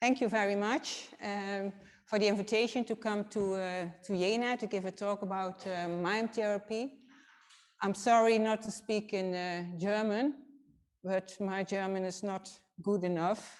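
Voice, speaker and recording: In a Dutch accent, a woman at medium pitch speaks at a fairly slow pace with fairly even intonation. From Netherlands, Nijmegen. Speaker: physiotherapist. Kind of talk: lecture. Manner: halting.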